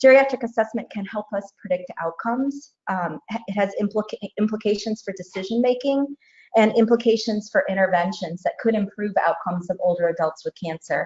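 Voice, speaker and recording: At a fairly quick pace, a woman with a fairly high, somewhat breathy voice speaks with ordinary pitch variation. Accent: American. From United States. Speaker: oncologist and researcher. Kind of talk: lecture.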